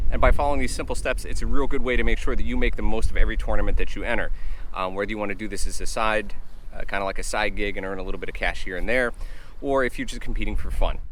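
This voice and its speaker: Audible room echo and noticeable background noise are present. Through them, a man speaks at a very fast pace. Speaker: fishing channel host. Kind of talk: tutorial. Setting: outdoors.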